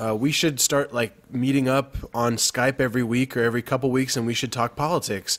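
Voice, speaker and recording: Using a normal speaking voice at medium pitch, a man with an American accent talks at a moderate pace with fairly even intonation. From Texas. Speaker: youtuber podcast host. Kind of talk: casual chat.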